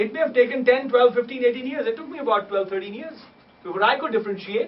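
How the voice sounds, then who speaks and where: Over noticeable background noise, a man with a Punjabi accent talks very fast in an extremely high voice, with ordinary pitch variation and big swings in loudness. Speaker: musician and scholar of sacred music. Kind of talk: lecture.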